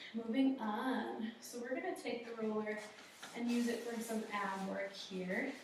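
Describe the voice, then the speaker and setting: Soft-spoken and fairly high-pitched, a woman talks at a very slow pace with fairly even intonation over noticeable background noise. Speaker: fitness instructor. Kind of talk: workout class instruction. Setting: studio.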